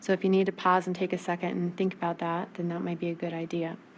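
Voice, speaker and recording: Her voice sits at a medium pitch. The woman's intonation stays monotone and flat. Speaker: math teacher. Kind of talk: recorded video lesson. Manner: fast.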